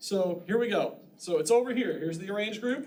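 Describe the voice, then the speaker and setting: Through audible room echo and noticeable background noise, a man talks fairly quickly at a high pitch with ordinary pitch variation. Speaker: college instructor. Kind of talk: lecture. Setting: classroom with students.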